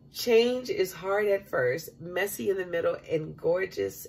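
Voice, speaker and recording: A woman talks in an animated, warm tone with hardly any pauses while music plays in the background. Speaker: vlogger leading prayer. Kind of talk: fervent prayer. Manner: earnest, warm, pleading, repeating 'Father' with heartfelt emphasis; casual, chatty, animated. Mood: warm, emotional, heartfelt. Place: kitchen. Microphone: phone near.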